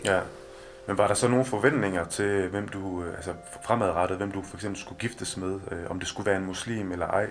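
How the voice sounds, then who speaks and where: Audible room echo and noticeable background noise surround a man's voice. He speaks at a fairly quick pace with a fairly low pitch and fairly even intonation. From Denmark, Kolding. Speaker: podcast host. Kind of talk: interview. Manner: halting.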